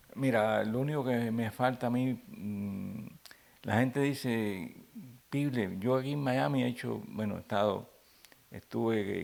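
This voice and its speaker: At a fairly slow pace, a man talks in a plain, everyday voice with ordinary pitch variation. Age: 60s. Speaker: comedian. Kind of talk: interview. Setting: at home.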